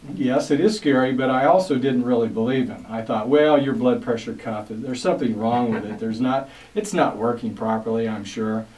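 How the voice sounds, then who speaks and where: Against noticeable background noise, the voice moves at a fairly quick pace with lively intonation. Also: man, medium pitch for a man. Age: 60s. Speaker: community leader. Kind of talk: interview testimony. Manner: halting.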